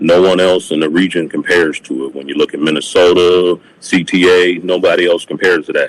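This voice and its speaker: With an American accent, a man speaks in a very deep, low pitch at a fairly quick pace, hardly pausing, his intonation monotone and flat. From Milwaukee County, Wisconsin, US Midwest. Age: 50s. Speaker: former transit union president giving public comment. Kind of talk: public testimony at a committee meeting. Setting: county committee meeting room.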